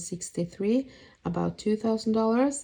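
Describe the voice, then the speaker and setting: With a Norwegian accent, a woman speaks in a dark, mellow tone with ordinary pitch variation. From Norway. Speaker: budget planner YouTuber. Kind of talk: voice-over for a budgeting tutorial. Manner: hesitant, casual.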